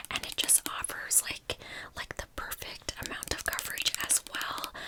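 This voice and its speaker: Noticeable background noise surrounds the recording. Through it, a woman whispers fairly slowly. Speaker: ASMR content creator. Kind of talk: ASMR whisper ramble / product review to camera. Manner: whispered, soft, friendly.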